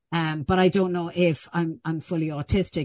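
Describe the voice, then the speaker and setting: Over a quiet background comes a voice with an Irish accent. Its pitch varies in an ordinary way. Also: woman. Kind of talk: interview. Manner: halting.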